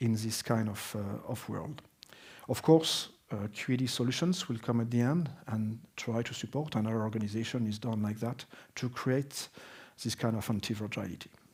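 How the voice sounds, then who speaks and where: Somewhat breathy, a man with a French accent speaks at a medium pitch and a moderate pace, with ordinary pitch variation. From France, Alsace. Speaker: business consultant. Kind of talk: conference presentation. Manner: halting, many fillers.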